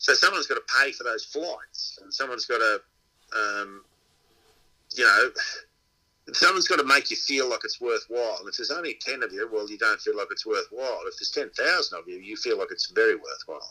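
Speaking with an Australian accent, a man talks at a fairly quick pace. His loudness swings widely from moment to moment. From Inverell, New South Wales, Australia. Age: 60s. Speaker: dog trainer and pig hunter. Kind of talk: casual interview chat.

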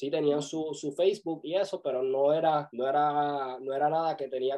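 A normal speaking voice from a man, fairly high in pitch, with fairly even intonation. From Puerto Rico, Vega Baja countryside. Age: 20s. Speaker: videographer and music video producer. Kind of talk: interview.

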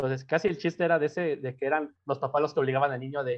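A man is speaking. He has a Mexico City accent. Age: 20s. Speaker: university student. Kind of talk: casual chat.

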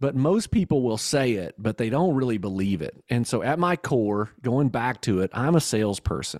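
With a Kentucky accent and lively intonation, a man speaks at a medium pitch and moderate pace with hardly any pauses, in a very clean recording with a silent background and a dry, close sound with no echo. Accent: Southern US (Kentucky). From Kentucky, US South. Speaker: entrepreneur and business coach. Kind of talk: casual interview.

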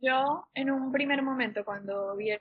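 Spoken at a moderate pace with fairly even intonation, this is a normal speaking voice. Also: woman. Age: 20s. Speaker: podcaster. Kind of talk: casual chat.

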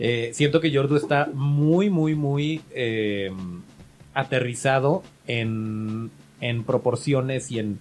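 A man at medium pitch, very slow pace, ordinary pitch variation, music in the background. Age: 30s. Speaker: podcast host. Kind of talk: casual chat.

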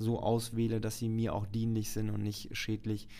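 The voice has a dark, mellow tone, with monotone, flat intonation and a moderate pace. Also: man. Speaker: podcast host. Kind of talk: casual chat.

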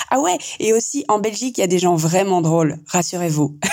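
A woman with a fairly low pitch in a plain, everyday voice, with ordinary pitch variation at a fairly slow pace. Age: 40s. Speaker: psychologist. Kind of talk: voice message.

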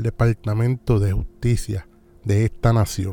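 Somewhat breathy and dark, mellow in tone, a man talks at a fairly slow pace in a monotone, flat intonation. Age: 40s. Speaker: podcast host. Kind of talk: talk show monologue.

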